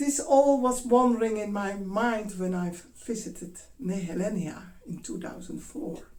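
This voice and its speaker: Amid audible room echo, a woman with a Dutch accent speaks slowly in a somewhat breathy, dark, mellow, fairly high-pitched voice with ordinary pitch variation. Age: 60s. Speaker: dance teacher. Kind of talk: talk. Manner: halting.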